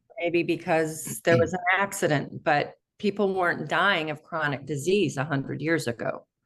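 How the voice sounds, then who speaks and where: Speaking in a plain, everyday voice, a woman keeps a fairly low pitch, ordinary pitch variation and a moderate pace with hardly any pauses. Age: 60s. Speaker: interview show host. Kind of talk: interview.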